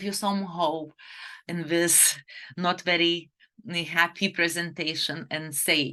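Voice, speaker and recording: A woman with a Lithuanian accent speaks at a very slow pace in a fairly low pitch, her tone bright and sharp. Her pitch variation is ordinary, and the background is quiet. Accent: foreign accent, Lithuanian. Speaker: fertility doctor. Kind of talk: webinar presentation. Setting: online webinar.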